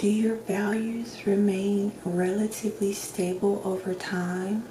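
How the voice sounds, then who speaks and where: Soft-spoken and flat in intonation, a woman with a medium-pitched voice speaks very slowly over noticeable background noise. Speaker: ASMR doctor roleplay performer. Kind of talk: ASMR roleplay, personality assessment questions.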